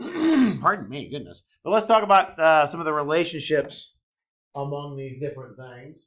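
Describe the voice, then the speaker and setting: A man's fairly high, bright, sharp voice moves with lively intonation through audible room echo. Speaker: math professor. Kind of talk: lecture. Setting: classroom. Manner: loud; halting with fillers.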